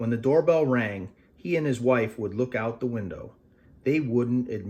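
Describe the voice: The clip is simply plain reading aloud.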